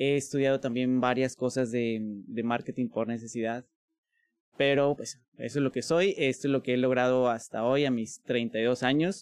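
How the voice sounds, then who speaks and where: Here a man uses a normal speaking voice at a medium pitch, keeping a moderate pace and fairly even intonation. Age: 30s. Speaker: linguist and language school director. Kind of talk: casual interview conversation.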